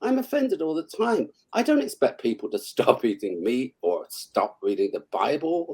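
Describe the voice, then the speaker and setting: The speaker talks with a British accent at a moderate pace. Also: man. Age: 70s. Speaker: author. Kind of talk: casual interview chat. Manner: animated.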